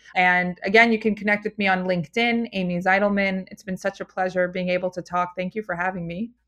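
Very fast and with hardly any pauses, a woman with an American accent speaks at a medium pitch in a monotone, flat way, the sound dry and close with no echo. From Philadelphia, US. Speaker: food company founder. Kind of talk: interview.

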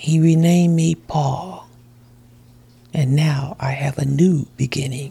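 This woman's voice is very deep and low, with a dark, mellow tone and some breathiness. She talks at a very slow pace with long, frequent pauses. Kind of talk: preacher in full flow, sermon-style exhortation with personal testimony. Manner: animated; fervent, exhorting, call-and-response preaching cadence.

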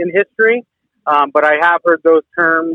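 A man with a high voice talks at a moderate speed. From California, Barstow. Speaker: firefighter. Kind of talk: interview. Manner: hesitant, many fillers.

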